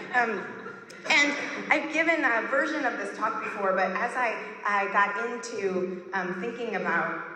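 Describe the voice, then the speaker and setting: Set against noticeable background noise and audible room echo, a woman talks at a medium pitch. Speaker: glass artist and historian giving a talk. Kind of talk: conference talk. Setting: stage with audience. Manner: animated. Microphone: poor audio in places.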